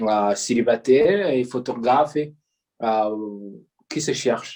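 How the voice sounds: A man speaks at a slow pace. His tone is slightly mellow. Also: medium pitch for a man, ordinary pitch variation.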